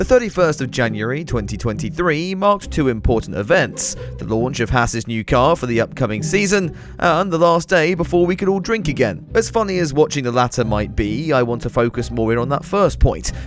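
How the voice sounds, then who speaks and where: With an English accent, a man talks at a fairly quick pace with hardly any pauses. His medium pitch moves in very wide swings over music in the background. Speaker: F1 commentary YouTuber. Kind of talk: scripted comedic commentary to camera.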